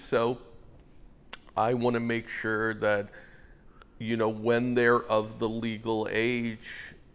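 Speaking slowly at a fairly low pitch, a man keeps a monotone, flat intonation with a clear, smooth tone.

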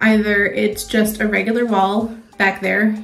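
Faint music plays behind a woman speaking at a moderate pace. Her intonation is monotone and flat. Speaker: home makeover vlogger. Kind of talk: casual vlog chat. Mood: relaxed, slightly wary. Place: bathroom. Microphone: phone near.

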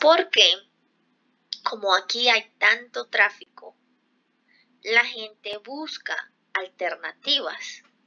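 At a very slow pace, a woman speaks with long, frequent pauses and big swings in loudness against a quiet background. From Colombia. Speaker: Spanish teacher. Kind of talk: conversational language lesson. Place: home room. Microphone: headset.

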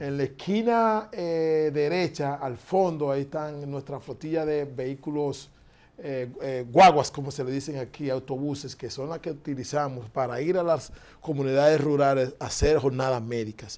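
A man at a moderate pace with a fairly high pitch. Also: ordinary pitch variation. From Dominican Republic. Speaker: foundation director; interview guest. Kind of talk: interview. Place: studio. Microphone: lapel.

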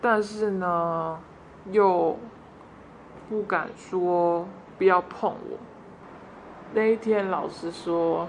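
Fairly even intonation at a very slow pace, with long, frequent pauses. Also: woman, medium pitch for a woman. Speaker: interviewee recounting childhood abuse. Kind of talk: personal testimony.

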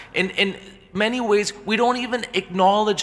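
A moderate pace carries the speech. The speaker is male. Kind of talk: sermon. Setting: church. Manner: earnest, forceful preaching; direct, warning the congregation. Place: church.

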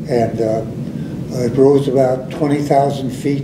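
A man at a fairly slow pace, amid noticeable background noise. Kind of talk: interview answer. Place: meeting room.

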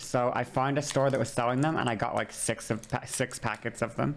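At a moderate pace, a woman speaks in a very deep, low pitch with fairly even intonation. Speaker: livestreamer. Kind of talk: casual stream chat. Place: home room. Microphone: studio mic.

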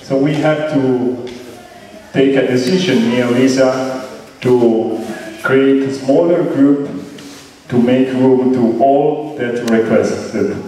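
The speaker goes at a very slow pace with long, frequent pauses and fairly even intonation, against strong room echo and light background noise. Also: man. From Italy. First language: Italian. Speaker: event organizer and amateur radio operator. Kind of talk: ceremony speech. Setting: stage with audience. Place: hall.

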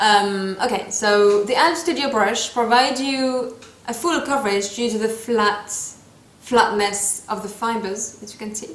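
A woman with a French accent speaks at a fairly slow pace and a fairly high pitch, her loudness swinging widely. Audible room echo surrounds her. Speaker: beauty vlogger. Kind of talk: tutorial. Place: home room. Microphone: phone near.

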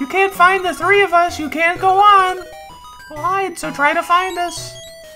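A put-on character voice, squeaky and extremely high, talks at a moderate pace. Music plays clearly in the background. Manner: sing-song, taunting.

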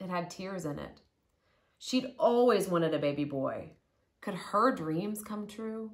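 Speaking at a fairly slow pace, a woman uses a fairly low pitch and lively intonation.

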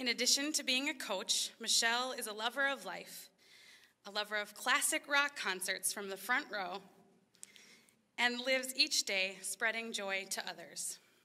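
A woman with a bright, sharp tone talks over a quiet background. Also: ordinary pitch variation, moderate pace. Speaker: event host. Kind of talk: scripted speech at ceremony. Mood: warm, appreciative. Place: hall. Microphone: podium.

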